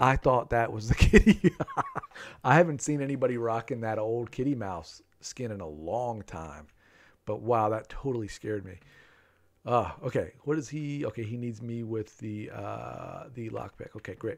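At a moderate pace, a man talks with lively intonation and big swings in loudness. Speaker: game streamer. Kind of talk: live stream game commentary.

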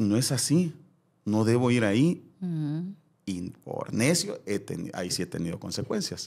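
The man's voice sits at a medium pitch. It rises and falls across a very wide range. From El Salvador. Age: 40s. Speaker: former TV presenter. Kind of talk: casual interview chat.

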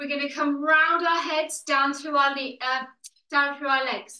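In a raised, projected voice with a bright, sharp tone, a woman speaks at a very slow pace with fairly even intonation, with audible room echo over a quiet background. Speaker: fitness instructor. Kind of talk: workout instruction and counting. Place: home room. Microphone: video call.

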